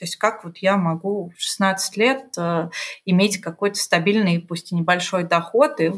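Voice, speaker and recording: Her voice is somewhat breathy, at a medium pitch for a woman. She speaks at a fairly slow pace with ordinary pitch variation. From Russia, Omsk. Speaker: strategy director. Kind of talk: casual interview chat.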